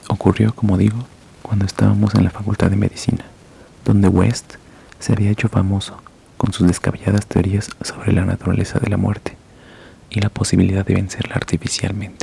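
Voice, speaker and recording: Soft-spoken and fairly quick, the speech holds a monotone, flat intonation over noticeable background noise. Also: man, fairly low pitch for a man. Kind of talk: horror story reading. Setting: home bedroom.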